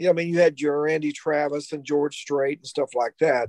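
Speaking with a Kentucky accent, a man uses a fairly high pitch and monotone, flat intonation in a dry, close sound with no echo. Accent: Kentucky Southern US. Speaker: rock guitarist. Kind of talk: casual panel chat.

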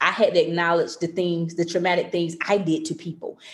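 Here a woman with an ordinary speaking voice talks at a fairly quick pace. Her pitch is medium, and she speaks with an American accent. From North Carolina. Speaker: educator and author. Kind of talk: interview testimony.

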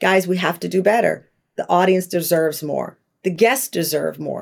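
Putting on a character voice, a woman speaks with a fairly low pitch and a raspy, calm tone. Her pace is moderate. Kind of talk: professional, managerial. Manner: calm, measured, firm.

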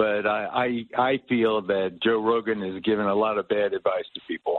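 A man speaks with an American accent at fairly low pitch. His intonation is monotone and flat.

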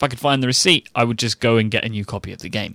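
A medium-pitched man with an English accent, a bright, sharp tone and a dry, close sound with no echo. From England. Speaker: podcast co-host. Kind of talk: casual chat. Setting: remote recording.

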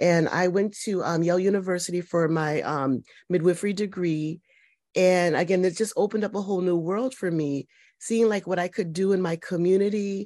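The speaker has a normal speaking voice and an American accent, talking at a fairly quick pace. The intonation stays fairly even against a quiet background. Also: woman, medium pitch for a woman. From Connecticut, US. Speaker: nursing professor and midwife. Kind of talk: interview conversation.

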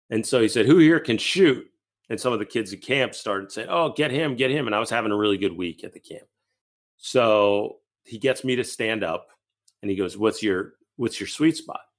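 Speaking in a plain, everyday voice, a man with an American accent keeps to a medium pitch. His intonation is lively and his pace moderate. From Massachusetts. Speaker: basketball podcast co-host. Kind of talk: casual chat.

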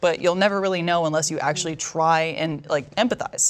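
A woman with an American accent at a fairly quick pace, a normal speaking voice with ordinary pitch variation, on a very clean recording with a silent background. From Texas, Dallas. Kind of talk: casual chat.

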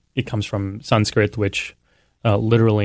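Over a quiet background, a man speaks in an ordinary speaking voice at a moderate pace, with fairly even intonation, fairly low pitch and an American accent. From Texas, San Antonio. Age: 30s. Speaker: professor of religion. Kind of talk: interview. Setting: studio.

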